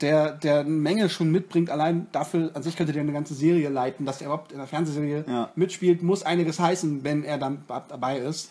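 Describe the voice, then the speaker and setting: Talking at a very fast pace with hardly any pauses, a man uses a fairly high pitch, a dark, mellow tone and fairly even intonation. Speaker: film podcast co-host. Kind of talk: casual chat.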